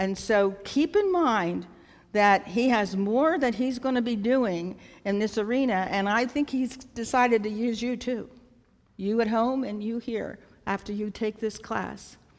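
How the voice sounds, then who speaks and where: A woman with an ordinary speaking voice talks at a fairly slow pace, her fairly high pitch showing ordinary pitch variation, on a very clean recording with a silent background. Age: 60s. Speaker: nonprofit founder. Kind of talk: talk at a church event.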